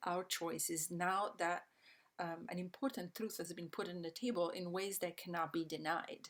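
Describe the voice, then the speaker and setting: A woman with a medium pitch and an Italian accent. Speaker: systems change educator. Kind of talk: online presentation. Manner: hesitant, many fillers.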